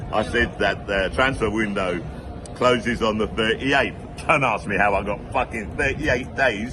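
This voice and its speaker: Over noticeable background noise, a man talks at a moderate pace and a fairly low pitch. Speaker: football fan vlogger. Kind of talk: casual monologue. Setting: pub. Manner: unscripted, off the cuff.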